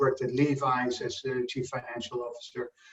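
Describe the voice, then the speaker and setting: A man talks with a Dutch accent in a somewhat breathy voice. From Netherlands. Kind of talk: interview.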